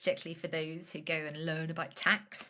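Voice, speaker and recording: A woman with a Northern Irish accent has a very deep, low pitch and a bright, sharp tone. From Northern Ireland. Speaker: business founder, financial educator. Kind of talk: podcast interview. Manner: casual, many fillers.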